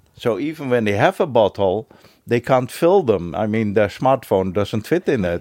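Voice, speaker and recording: In a Dutch accent, a man speaks at a moderate pace and medium pitch with lively intonation. The recording is very clean, with a silent background and a dry, close sound with no echo. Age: 70s. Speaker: retired bookkeeper and beachcomber. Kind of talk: interview. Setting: at his home. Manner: hesitant, frequent fillers.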